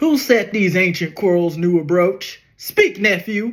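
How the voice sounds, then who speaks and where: Putting on a character voice, a man speaks with a high pitch at a fairly slow pace. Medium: solo performance.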